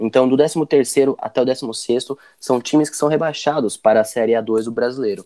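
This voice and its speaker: The voice has a dark, mellow tone and fairly even intonation at a moderate pace. The sound is dry and close, with no echo. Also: man, medium pitch for a man. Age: 20s. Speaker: sports podcast host. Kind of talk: casual chat.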